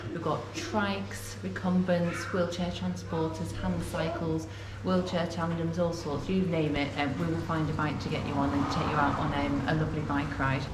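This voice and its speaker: Woman talking with hardly any pauses over loud background noise. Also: moderate pace. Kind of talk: interview answer. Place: shop.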